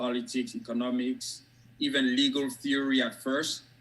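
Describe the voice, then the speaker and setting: With a strong French West African accent, a man speaks at a moderate pace in a bright, sharp tone, his medium pitch held in a monotone, flat intonation. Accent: thick French West African. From Côte d'Ivoire. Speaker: academic and author. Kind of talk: interview. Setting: video call.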